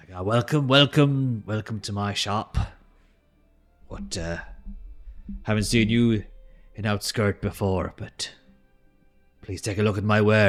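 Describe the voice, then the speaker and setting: Over faint background music, a man puts on a loud, booming character voice at a moderate pace, leaving long, frequent pauses. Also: fairly low pitch for a man. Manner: welcoming.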